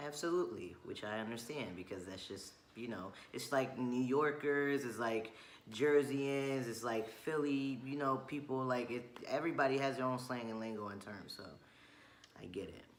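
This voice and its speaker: Over noticeable background noise and audible room echo, a man talks at a moderate pace in a medium-pitched voice with ordinary pitch variation. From Chile. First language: Spanish. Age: 20s. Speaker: vlogger. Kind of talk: casual chat.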